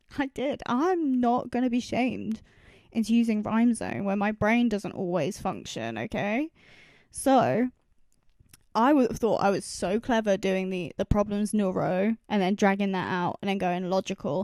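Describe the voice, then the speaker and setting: A plain, everyday voice moves at a moderate pace with ordinary pitch variation, in a dry, close sound with no echo. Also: woman. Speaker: independent music producer and artist. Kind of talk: casual production walkthrough.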